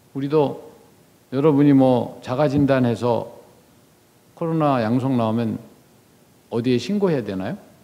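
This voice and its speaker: Through audible room echo, a man with a dark, mellow tone speaks at a fairly slow pace, leaving long, frequent pauses amid ordinary pitch variation. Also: medium pitch for a man. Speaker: former diplomat, guest lecturer. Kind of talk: lecture. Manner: conversational.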